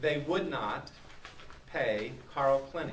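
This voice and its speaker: Speech at a moderate pace, with noticeable background noise and audible room echo. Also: man. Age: 60s. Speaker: citizen giving testimony. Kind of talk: public testimony. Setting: public speak-out event.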